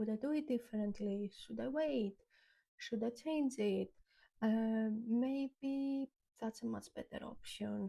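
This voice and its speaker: A woman's very slow, somewhat breathy speech in a dark, mellow tone, with a non-native accent and ordinary pitch variation. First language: not English. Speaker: YouTuber. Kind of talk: reflective talk to camera. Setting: on camera. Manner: many filler ums.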